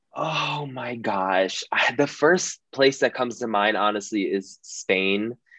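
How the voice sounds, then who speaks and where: A man with an American accent speaks in an unremarkable speaking voice at a fairly slow pace. His pitch varies in an ordinary way, and the background is quiet. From Philadelphia, US. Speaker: podcast co-host. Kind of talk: casual chat.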